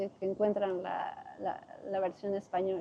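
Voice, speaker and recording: A woman speaks in a coastal Ecuadorian accent. Her pace is moderate. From Ecuador, Guayaquil (coast). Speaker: Spanish teacher, expat interviewee. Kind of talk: interview.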